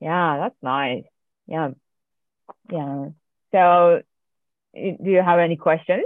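A woman with a Japanese accent and a fairly low pitch speaks very slowly, with ordinary pitch variation. Her pauses are long and frequent. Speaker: amateur sports club organiser and podcast host. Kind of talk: casual interview.

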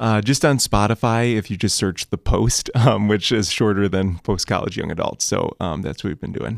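A man at a fairly low pitch, moderate pace and ordinary pitch variation, with vocal fry, in a very clean recording against a silent background

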